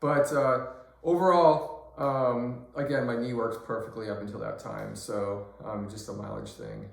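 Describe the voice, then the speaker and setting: There is noticeable background noise and audible room echo as a man speaks at a fairly slow pace with big swings in loudness. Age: 60s. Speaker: patient vlogger. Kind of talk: personal vlog. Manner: hesitant, many fillers.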